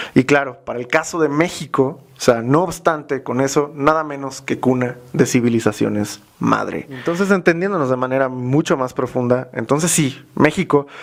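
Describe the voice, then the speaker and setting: The speaker has a Mexican accent and hardly pauses at all. Noticeable background noise runs underneath. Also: man, fairly high pitch for a man, ordinary pitch variation, moderate pace. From Mexico. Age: young. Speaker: youtuber, cultural commentator. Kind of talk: interview. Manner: hesitant fillers.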